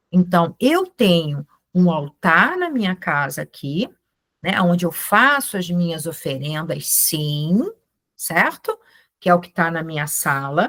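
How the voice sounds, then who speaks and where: Very slow speech from a woman, fairly low in pitch, with ordinary pitch variation. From Brazil, Ceará; raised in Rio de Janeiro. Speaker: Hellenism practitioner and teacher. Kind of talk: informal online talk to a group. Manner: animated.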